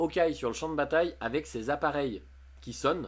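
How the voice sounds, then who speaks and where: Lively intonation runs through this vocal-fry voice, captured in a very clean recording with a silent background. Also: man. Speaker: streamer. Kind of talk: live stream chat, reading chat messages. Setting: live stream. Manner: fast; casual, hesitant with many fillers.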